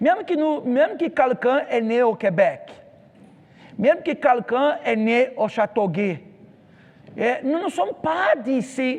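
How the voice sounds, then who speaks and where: Speaking with a Brazilian accent, a man uses an extremely high pitch and lively intonation. His pace is fairly slow, broken by long, frequent pauses. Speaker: pastor. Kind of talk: sermon. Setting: church. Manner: halting.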